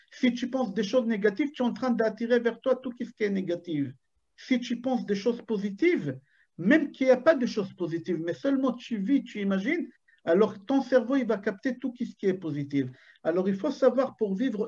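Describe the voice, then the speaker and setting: The speaker talks at a moderate pace in an Israeli accent. The background is quiet. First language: Hebrew (speaking French). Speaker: rabbi. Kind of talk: Torah lecture. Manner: animated.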